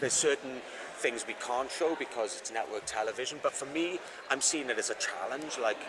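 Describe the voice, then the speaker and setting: With a Welsh accent, the speaker talks at a fairly quick pace with ordinary pitch variation over noticeable background noise. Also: man, medium pitch for a man. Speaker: actor. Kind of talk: press interview.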